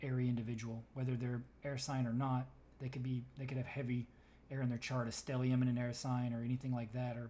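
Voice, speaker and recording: A man's dark, mellow, somewhat breathy voice at a medium pitch, fairly quick in pace, with monotone, flat intonation. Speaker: tarot reader. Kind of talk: tarot reading. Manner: fast.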